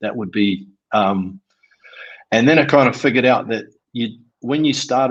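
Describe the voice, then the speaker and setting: Over a quiet background, a man with a New Zealand accent talks at a medium pitch. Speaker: construction trades business owner. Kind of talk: interview answer.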